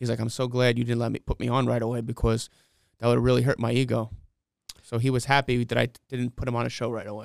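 A man in a New York accent talks at a very fast pace in a medium-pitched, monotone, flat voice. The sound is dry and close with no echo. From New York City (Flushing, Queens). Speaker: comedy show promoter and comedian. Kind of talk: casual interview.

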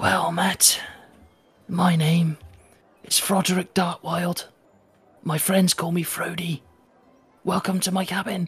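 A man speaks in a put-on character voice, raspy and high-pitched for a man. His delivery is monotone and flat, at a fairly slow pace with long, frequent pauses. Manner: eerie, welcoming.

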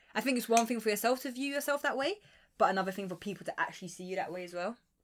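A woman with a strong South London accent talks at a very fast pace with lively intonation. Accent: strong Croydon. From London, Croydon. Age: 20s. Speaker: podcast co-host. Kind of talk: casual chat.

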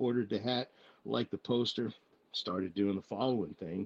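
Heard dry and close with no echo, a man speaks in an ordinary speaking voice of medium pitch at a moderate pace with fairly even intonation. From military family, moved around; raised in Texas from high school. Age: 40s. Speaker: military member / fitness challenge participant. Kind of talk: casual chat.

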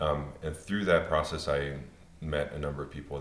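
Audible room echo surrounds a man with a very deep, low voice who speaks at a fairly quick pace. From Pennsylvania. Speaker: opera singer. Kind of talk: panel discussion.

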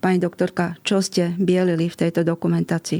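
A woman at a fairly low pitch and moderate pace, with a dark, mellow tone, on a very clean recording with a silent background. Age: 60s. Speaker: pediatrician. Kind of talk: interview.

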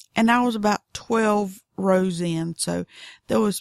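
A woman drawls in a Southern US accent at a fairly slow pace. The sound is dry and close, with no echo. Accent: Southern drawl. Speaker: knitting podcaster. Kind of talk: casual tutorial monologue. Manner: unhurried, drawling; chatty, animated.

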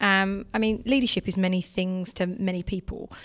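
A woman speaks at a moderate pace with an English accent. Her medium-pitched voice keeps a fairly even intonation. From England. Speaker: technology sales leader. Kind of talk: interview.

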